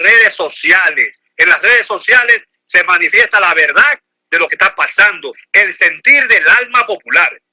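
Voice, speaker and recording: An animated tone from a man at a fairly slow pace, in a dry, close sound with no echo. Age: 60s. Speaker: lawyer and political commentator. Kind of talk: phone interview.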